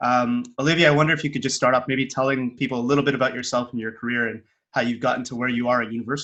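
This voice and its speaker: This man has a Canadian accent and a medium pitch. His intonation stays fairly even. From Canada. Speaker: podcast host. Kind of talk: casual interview chat.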